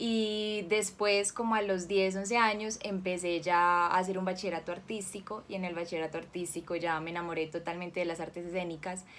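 A woman talks at a fairly quick pace with hardly any pauses and fairly even intonation. Light background noise is present. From Colombia, Cali; raised in Medellín from 13; Colombia. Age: 20s. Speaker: actress; actress interviewee. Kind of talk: interview; interview answer. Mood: warm, smiling. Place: home room.

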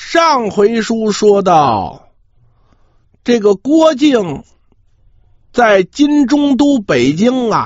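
Extremely high-pitched for a man, this voice moves at a very slow pace with lively intonation and long, frequent pauses. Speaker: traditional Chinese storyteller (pingshu performer). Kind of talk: traditional oral storytelling of a martial-arts novel. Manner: humorous.

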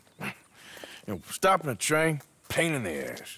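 A man's put-on character voice at medium pitch, bright and sharp with a slightly husky edge, very wide pitch swings and a fairly slow pace

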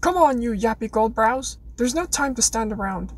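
Growling in a put-on character voice, a woman speaks at a moderate pace with a fairly high pitch. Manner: aggressive, urgent.

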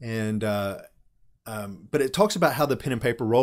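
A man at a moderate pace with ordinary pitch variation, quiet background. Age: 40s. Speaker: tabletop RPG streamer reviewing game books; tabletop game channel host. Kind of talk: casual live stream talk with chat. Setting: live stream from home. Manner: casual, with many fillers and restarts. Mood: nostalgic, amused. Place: home room.

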